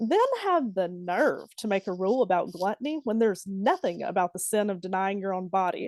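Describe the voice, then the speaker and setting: A woman speaks with a Southern US accent and lively intonation. The sound is dry and close with no echo. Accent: Southern twang. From Alabama. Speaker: poet. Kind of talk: poetry reading. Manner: exaggerated Southern dialect.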